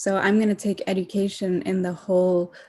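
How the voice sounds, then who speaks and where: A woman speaks at a medium pitch with a dark, mellow tone. Her voice is somewhat breathy, her intonation monotone and flat. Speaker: youth climate activist. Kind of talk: panel talk. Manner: slow.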